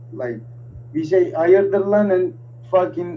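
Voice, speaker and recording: A man's high-pitched voice with a dark, mellow tone, lively intonation, and a very slow pace. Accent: Turkish. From Turkey. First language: Turkish. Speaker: interview guest. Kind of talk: casual chat.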